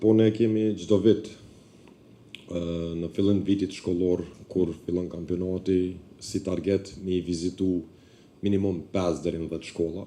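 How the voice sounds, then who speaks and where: Speaking at a moderate pace with long, frequent pauses, a man uses a very deep, low pitch and a dark, mellow tone in a monotone, flat delivery. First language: Albanian. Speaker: basketball club representative. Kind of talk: audience contribution.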